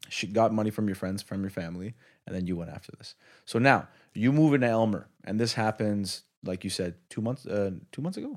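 In a very clean recording with a silent background, a man with an ordinary speaking voice talks at a fairly quick pace, his fairly low pitch moving an ordinary amount while his loudness swings widely. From Quebec, Canada. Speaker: podcast host. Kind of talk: casual interview. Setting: in a restaurant.

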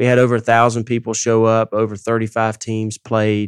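A man's fairly low voice with a Southern US accent, at a moderate pace over a quiet background. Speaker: ministry president and founder. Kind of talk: casual chat. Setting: studio.

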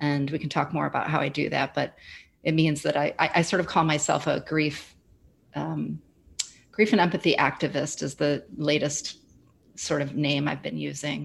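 Delivered at a moderate pace, the speech sits on a very clean recording with a silent background. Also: woman. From US Midwest. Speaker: grief educator and former social worker. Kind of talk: casual interview conversation.

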